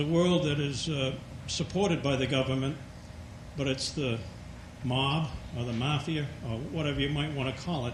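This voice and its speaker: A man with a fairly high voice talks at a moderate pace with long, frequent pauses, amid noticeable background noise and audible room echo. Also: fairly even intonation. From Maine. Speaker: audience member asking a question. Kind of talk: audience question.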